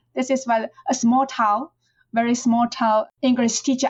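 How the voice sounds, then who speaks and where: Here a woman with a Chinese accent speaks at a high pitch. Her pace is moderate and her intonation fairly even. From China, rural Fujian. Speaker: professor. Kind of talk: interview. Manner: halting, with repetitions.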